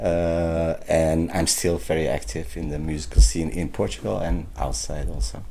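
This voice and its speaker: A man talks at a moderate pace with hardly any pauses, his very deep, low voice dark and mellow in tone. His intonation is lively, and audible room echo surrounds it. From Netherlands, raised from age three (born in Turkey). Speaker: musician. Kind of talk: interview. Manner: halting.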